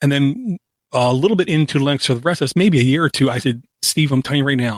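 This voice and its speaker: In a dry, close sound with no echo, a man talks at a very fast pace with a fairly high pitch and ordinary pitch variation. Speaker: tech podcaster and computer repair tech. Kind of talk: casual interview chat.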